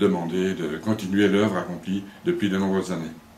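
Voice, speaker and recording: Over noticeable background noise and audible room echo, a man talks with a fairly low pitch. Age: 60s. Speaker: mayor. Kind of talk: interview. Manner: hesitant with fillers.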